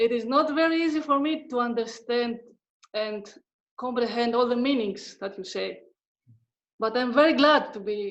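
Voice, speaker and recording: A woman with a non-native accent talks fairly slowly in a fairly high pitch, her pitch varying in an ordinary way. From Greece, Thessaloniki. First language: Greek. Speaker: discussion participant. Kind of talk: group discussion. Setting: video call. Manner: slow, careful.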